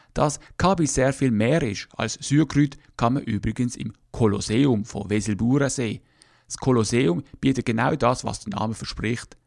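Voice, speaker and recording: A plain, everyday voice from a man, medium in pitch, fairly slow, with ordinary pitch variation, in a very clean recording with a silent background and a dry, close sound free of echo. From Switzerland, Basel. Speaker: podcast host. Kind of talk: scripted narration.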